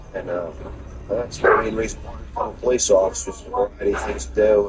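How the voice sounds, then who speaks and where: A man with a New Jersey accent talks over noticeable background noise. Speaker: police officer. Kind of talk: on-duty police talk.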